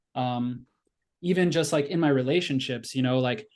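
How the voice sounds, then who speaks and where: Against a quiet background, a man talks with a Midwestern American accent. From US Midwest, outside Chicago. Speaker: chemistry teacher. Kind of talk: casual chat. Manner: fast; animated.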